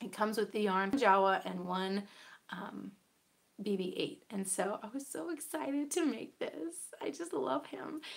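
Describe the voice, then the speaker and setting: A woman speaks at a medium pitch and a fairly slow pace, her voice making very wide pitch swings and showing vocal fry. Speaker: podcast host. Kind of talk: casual chat. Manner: hesitant with fillers.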